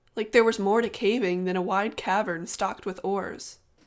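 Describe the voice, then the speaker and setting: A woman with a plain, everyday voice, medium in pitch, ordinary pitch variation, a fairly quick pace, and a very clean recording over a silent background. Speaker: gaming YouTuber. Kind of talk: video essay narration.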